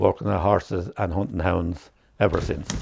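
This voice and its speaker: Against a quiet background, a man with a southeast Irish accent speaks at a moderate pace in a very deep, low voice. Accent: rural southeast Irish. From Ireland, County Wexford. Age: 80s+. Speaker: horse show judge and farmer. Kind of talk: casual reminiscence interview. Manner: halting.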